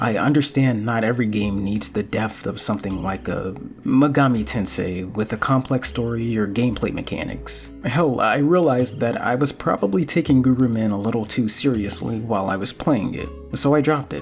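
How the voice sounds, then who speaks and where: With music in the background, a man speaks at a moderate pace and medium pitch, with lively intonation and hardly any pauses. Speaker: video game reviewer. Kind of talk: video essay voiceover. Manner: bored-sounding at times.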